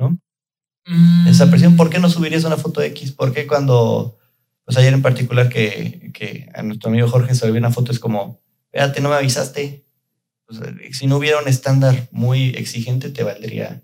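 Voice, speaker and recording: A man talks in a medium pitch with a Mexican accent. His voice is somewhat breathy. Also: ordinary pitch variation, moderate pace. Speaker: product lead at a digital agency, podcast host. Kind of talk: casual chat.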